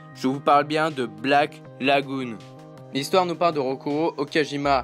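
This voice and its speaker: Music plays in the background as a man speaks. His pitch is fairly high, his intonation fairly even. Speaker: YouTube anime reviewer. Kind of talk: anime review voice-over.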